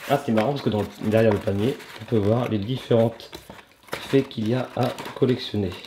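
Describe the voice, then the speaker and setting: A man at medium pitch and a moderate pace, with long, frequent pauses and noticeable background noise. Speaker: unboxing channel host with child. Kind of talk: casual chat with a child during toy unboxing. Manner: animated.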